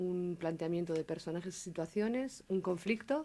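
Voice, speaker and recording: A woman speaks at a moderate pace. Her medium-pitched voice has a dark, mellow tone. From León, Spain. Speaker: storyteller and writer. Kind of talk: interview answer.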